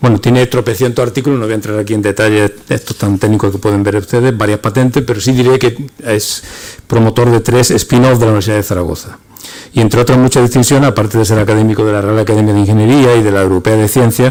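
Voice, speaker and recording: Over noticeable background noise, a man speaks very fast at a medium pitch, with very even loudness and fairly even intonation. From Andalusia. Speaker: academic presenter. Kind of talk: speaker introduction.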